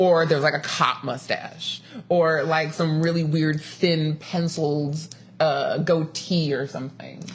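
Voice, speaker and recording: A woman's fairly low pitch and animated tone at a fairly slow pace. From Los Angeles. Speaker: podcast host. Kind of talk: casual chat.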